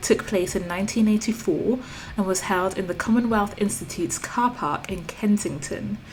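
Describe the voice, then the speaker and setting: With music in the background, a woman speaks in a British accent at medium pitch with ordinary pitch variation. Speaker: art and journaling vlogger. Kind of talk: voiceover narration.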